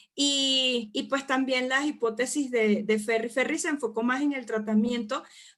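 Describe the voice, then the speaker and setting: Fairly slow speech from a woman, bright and sharp in tone. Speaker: psychology lecturer. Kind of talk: online lecture. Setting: live online class with chat.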